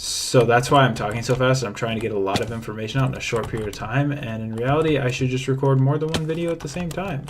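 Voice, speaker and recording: The speech comes at a very fast pace with hardly any pauses. Noticeable background noise sits behind it. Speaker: gaming YouTuber. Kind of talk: gameplay commentary.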